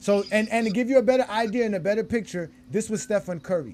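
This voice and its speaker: A fairly quick pace with ordinary pitch variation. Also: man. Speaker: sports podcast host. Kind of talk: sports debate discussion. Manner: fast.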